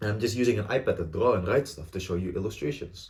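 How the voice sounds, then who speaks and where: Somewhat breathy, a man with an Indonesian accent speaks at a fairly low pitch. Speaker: student YouTuber. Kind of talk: casual vlog talk to camera. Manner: halting, stumbles and repeats words.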